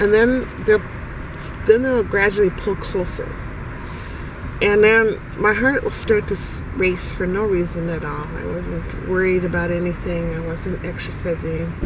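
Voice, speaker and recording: A fairly slow pace amid noticeable background noise. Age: 60s. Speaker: self-described targeted individual. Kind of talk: personal testimony. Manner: halting, with fillers and restarts.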